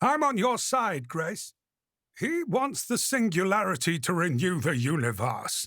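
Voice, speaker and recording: The speaker uses a put-on character voice with very wide pitch swings at a moderate pace. The recording is very clean, with a silent background. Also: man, high pitch for a man. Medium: read story. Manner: glib.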